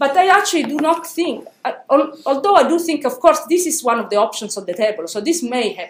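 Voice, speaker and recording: At a fairly quick pace, a woman speaks high with very wide pitch swings, and the room echo is audible. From Italy. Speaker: philosophy professor. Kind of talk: academic panel talk. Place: hall.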